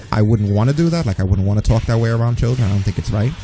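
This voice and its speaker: Over music in the background, the voice moves at a very fast pace. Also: man. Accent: American. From New York. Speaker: streamer. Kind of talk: casual chat. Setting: live stream. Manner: animated.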